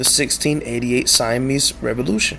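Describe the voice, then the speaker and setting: Quiet speech amid noticeable background noise. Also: man. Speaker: YouTube history commentator. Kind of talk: reading aloud with commentary. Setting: at home at night. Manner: speaking quietly; halting.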